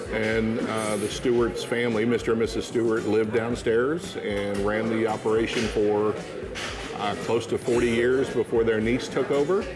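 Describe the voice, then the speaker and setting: A man at a moderate pace, clear music in the background. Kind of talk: interview answer. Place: cafe. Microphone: lapel.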